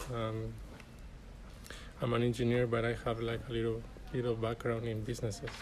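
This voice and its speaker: Speaking in a Chilean accent with monotone, flat intonation, a man at medium pitch moves at a fairly quick pace between long, frequent pauses, with audible room echo. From Chile (Arica, far north). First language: Spanish. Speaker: graduate student. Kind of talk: interview.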